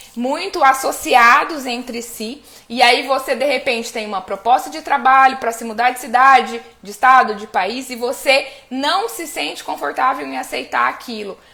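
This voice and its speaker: A woman speaks at a moderate pace in a high voice, her intonation lively and her loudness swinging widely, over noticeable background noise. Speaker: family constellation coach. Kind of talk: live stream talk. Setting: live stream.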